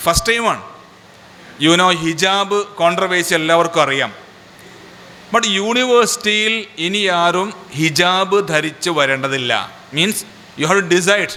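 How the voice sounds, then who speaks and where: Speaking with a Keralan accent, a man with a high pitch uses ordinary pitch variation at a fairly slow pace. He takes long, frequent pauses, and noticeable background noise is present. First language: Malayalam. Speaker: organisation leader. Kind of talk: public speech.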